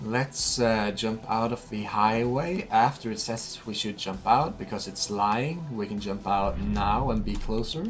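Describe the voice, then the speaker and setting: In a Norwegian accent, a man talks at a fairly slow pace with ordinary pitch variation while music plays in the background. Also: medium pitch for a man, hardly any pauses. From Norway. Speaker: gaming YouTuber. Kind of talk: let's play commentary. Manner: casual, with many fillers.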